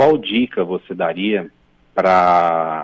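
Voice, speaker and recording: This man's voice has a dry, close sound with no echo. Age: 40s. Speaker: caller, medium. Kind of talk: radio call-in question. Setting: phone call. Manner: halting.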